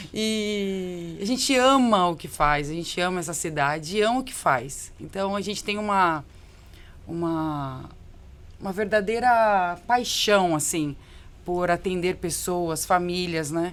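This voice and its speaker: A woman with a São Paulo accent speaks at a very slow pace and a fairly low pitch with ordinary pitch variation, with audible room echo. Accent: paulista. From Brazil, São Paulo. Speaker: business owner. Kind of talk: podcast interview.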